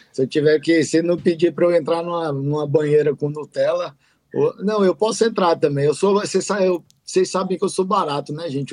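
This man has a high pitch with ordinary pitch variation. His pace is fairly quick. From Brasília, Brazil. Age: 30s. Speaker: entrepreneur and emcee. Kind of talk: casual chat.

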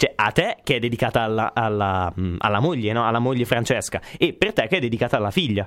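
A man rattles off his words very fast, his intonation lively. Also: medium pitch for a man. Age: young. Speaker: radio host and sound technician. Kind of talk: casual radio chat. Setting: radio studio. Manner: halting, many fillers.

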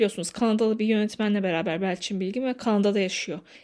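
With an animated tone, a woman talks at a very fast pace. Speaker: podcast host. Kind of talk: casual monologue.

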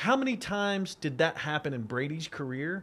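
A normal speaking voice from a man, fairly high in pitch, fairly slow, with lively intonation, in a very clean recording with a silent background. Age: 40s. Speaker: sports betting analyst. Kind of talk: casual chat.

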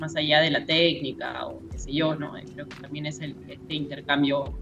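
Against noticeable background noise and audible room echo, a woman with a very deep, low voice speaks at a moderate pace. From Peru. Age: 30s. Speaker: circus teacher. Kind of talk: casual chat.

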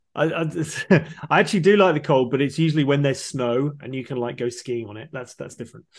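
A man's fairly high voice in a British accent at a very fast pace with hardly any pauses, ordinary pitch variation and big swings in loudness, against a quiet background. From UK. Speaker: podcast host. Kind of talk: interview. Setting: video call. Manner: animated.

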